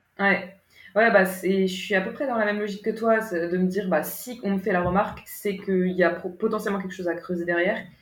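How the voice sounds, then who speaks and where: In a room with audible echo, a woman speaks fairly quickly at a medium pitch with fairly even intonation. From France, Paris region (Yvelines). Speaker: writer, guest. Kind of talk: casual interview conversation. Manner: hesitant, many fillers.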